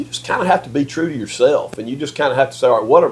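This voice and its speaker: Over noticeable background noise, a man speaks with a Mississippi accent. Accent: US Southern (Mississippi). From Mississippi, Yazoo City. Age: 60s. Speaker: political strategist and lobbyist. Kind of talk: casual interview conversation. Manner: hesitant, repetitive false starts.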